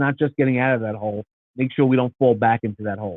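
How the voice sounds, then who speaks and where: A man speaks with a New York accent at a medium pitch. His intonation stays fairly even. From New York City. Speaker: nonprofit founder. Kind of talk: casual chat.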